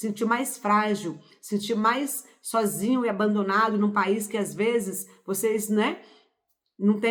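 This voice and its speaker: At a very slow pace, a woman talks in a fairly high voice with ordinary pitch variation. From Brazil, Pará, rural interior. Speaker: spiritual self-help youtuber. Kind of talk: motivational talk. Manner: informal, conversational.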